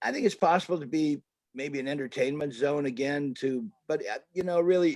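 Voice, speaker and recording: A man speaks at a moderate pace with a fairly high pitch and a dark, mellow tone, the sound dry and close with no echo. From Canada. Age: 70s. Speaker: artist and photographer. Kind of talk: interview.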